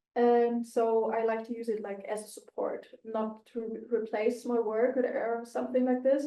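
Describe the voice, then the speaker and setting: Speaking with a non-native accent, a woman keeps a fairly high pitch and a monotone, flat intonation. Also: moderate pace. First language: not English. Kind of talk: casual discussion. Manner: frequent 'like' fillers.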